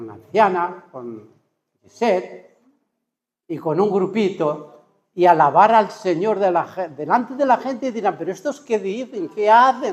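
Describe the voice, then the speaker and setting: The delivery is fairly slow, with lively intonation. Loudness swings widely throughout. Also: man, high pitch for a man. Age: 70s. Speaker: retired pastor, preacher. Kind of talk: sermon. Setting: church service with congregation.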